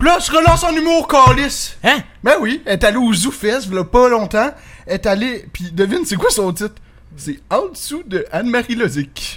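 A Quebec accent at a moderate pace. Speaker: podcast co-host. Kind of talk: casual chat.

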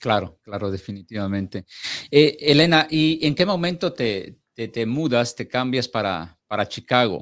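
At a fairly slow pace, a man with a medium-pitched voice talks with very wide pitch swings. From Mexico. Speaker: podcast host. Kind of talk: interview. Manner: halting.

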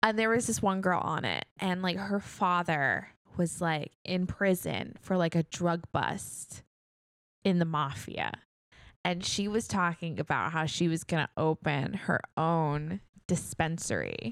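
At a fairly slow pace, a plain, everyday voice with an American accent speaks with very even loudness and ordinary pitch variation on a very clean recording with a silent background. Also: woman, fairly low pitch for a woman. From New York, Queens. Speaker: podcast co-host. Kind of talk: casual chat.

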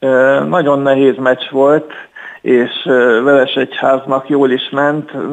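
Very slow in pace, a man talks at medium pitch with fairly even intonation. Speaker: chess club section leader and player. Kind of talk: radio interview. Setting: phone call.

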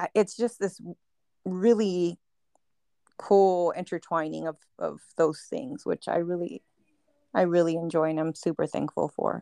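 Recorded very cleanly against a silent background with a dry, close sound and no echo, a woman with a fairly low pitch and ordinary pitch variation speaks at a fairly slow pace with long, frequent pauses. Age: 30s. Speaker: podcast co-host. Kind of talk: casual chat.

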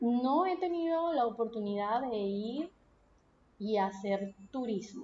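Speaking very slowly with a Venezuelan accent, a woman uses lively intonation at a fairly high pitch. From Venezuela, Punto Fijo (Falcón coast). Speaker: podcast host. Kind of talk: solo podcast monologue. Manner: casual, conversational.

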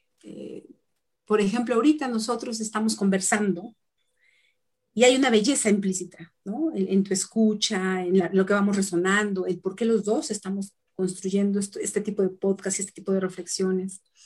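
At a moderate pace, a woman speaks somewhat breathily at a medium pitch with ordinary pitch variation. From Mexico, Tlaxcala. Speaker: ontological coach. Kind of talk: interview. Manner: halting.

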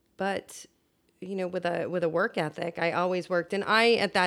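A woman's plain, everyday voice, fairly low in pitch and moderate in pace, in a very clean recording with a silent background. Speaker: producer and communications director. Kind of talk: casual interview chat. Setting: in person at a home.

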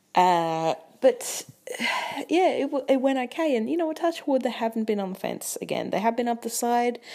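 The speaker is a woman with an Australian accent. Her pitch swings very widely. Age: 20s. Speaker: podcast host. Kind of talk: casual monologue.

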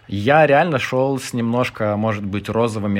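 This man has a Lithuanian accent and a fairly low pitch. He speaks at a moderate pace with ordinary pitch variation. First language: Lithuanian (speaking Russian). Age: 30s. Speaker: podcast guest, former civil servant. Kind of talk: casual chat.

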